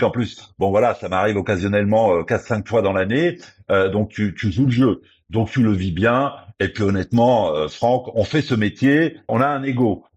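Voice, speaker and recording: Over a quiet background, a man with an unremarkable speaking voice talks at a medium pitch and moderate pace, his intonation lively. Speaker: radio journalist and presenter. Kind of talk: interview.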